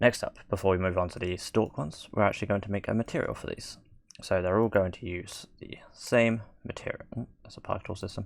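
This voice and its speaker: Here a man is talking. He goes at a moderate pace. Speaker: 3D software tutorial maker. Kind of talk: tutorial. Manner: monotone.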